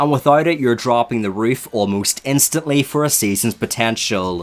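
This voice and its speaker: Lively intonation runs through a man's speech in a Northern Irish accent. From Northern Ireland. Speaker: reality TV reviewer. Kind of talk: video review commentary.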